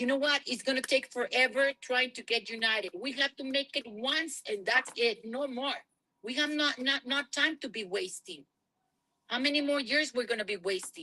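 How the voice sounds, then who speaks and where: In a dry, close sound with no echo, a woman projects a raised, high-pitched voice with a bright, sharp tone. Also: ordinary pitch variation, moderate pace. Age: 60s. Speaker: trucking business owner. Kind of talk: panel discussion. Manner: animated.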